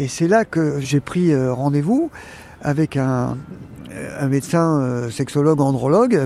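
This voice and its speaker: This man speaks at a very slow pace, his fairly high pitch moving with ordinary variation. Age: 60s. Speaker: retired psychiatric nurse. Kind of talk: personal testimony. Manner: halting.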